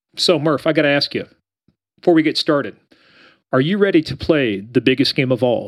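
A man with a Kansas accent talks at a fairly quick pace. His pitch is fairly high. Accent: sounds like Kansas. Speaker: podcast host, former police officer. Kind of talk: casual interview. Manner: animated.

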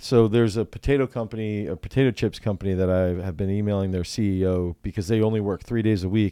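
A man talks at a very fast pace with hardly any pauses, his fairly low pitch carrying a dark, mellow tone and fairly even intonation. The recording is very clean and dry, close with no echo, over a silent background. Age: 30s. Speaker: strength coach and fitness business owner. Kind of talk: casual chat.

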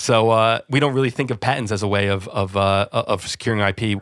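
Talking at a fairly quick pace, a man with a normal speaking voice, medium pitch and an American accent. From New Jersey, US. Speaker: audio company managing director. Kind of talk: interview. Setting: remote call from office.

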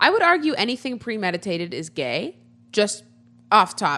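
A woman speaks in a bright, sharp tone with very wide pitch swings. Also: quiet background. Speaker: podcast co-host. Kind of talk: casual chat. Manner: loud.

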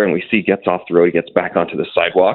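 A man with a Canadian accent, talking at a very fast pace. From Toronto. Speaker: mayoral candidate and commentator. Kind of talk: interview.

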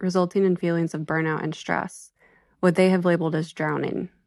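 A woman with a normal speaking voice talks at a fairly low pitch against a quiet background. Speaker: library director. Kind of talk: reading aloud.

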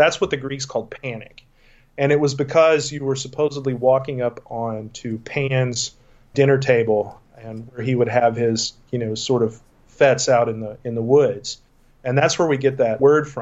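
An ordinary speaking voice in an American accent, moderate in pace, with fairly even intonation and big swings in loudness. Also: man, medium pitch for a man. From Texas. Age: 40s. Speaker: paranormal investigator. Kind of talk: interview.

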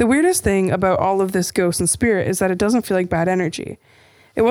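Plain reading aloud, pitch moving in an ordinary way

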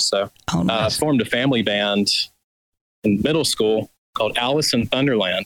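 A man with an Alabama accent speaks at a moderate pace in a dry, close sound with no echo. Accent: Southern US (Alabama). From Birmingham, Alabama. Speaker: lead guitarist in a band. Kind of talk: casual chat.

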